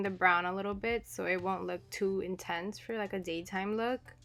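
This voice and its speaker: Her intonation is a flat monotone at a medium pitch for a woman. The recording is very clean, with a silent background. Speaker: beauty vlogger. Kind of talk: makeup tutorial voiceover. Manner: casual.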